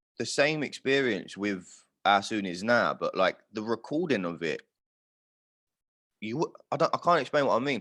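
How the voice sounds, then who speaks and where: With a London accent and vocal fry, a man talks at a moderate pace with very wide pitch swings in a very clean recording with a silent background. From London, north London. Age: 20s. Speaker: singer-songwriter. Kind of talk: casual chat.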